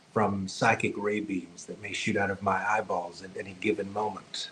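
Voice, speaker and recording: Noticeable background noise runs under the voice. A man speaks in an American accent. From US South, rural. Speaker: psychic medium. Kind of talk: podcast interview. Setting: video podcast.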